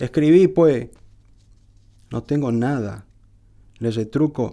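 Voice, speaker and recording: In a northeastern Argentine accent, a man speaks at a very slow pace with ordinary pitch variation. His tone is dark and mellow, over a quiet background. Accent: northeastern Argentine Spanish (Corrientes). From Argentina, Corrientes. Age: 50s. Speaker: poet. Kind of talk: reading aloud; personal account. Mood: calm, reflective. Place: studio. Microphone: studio mic.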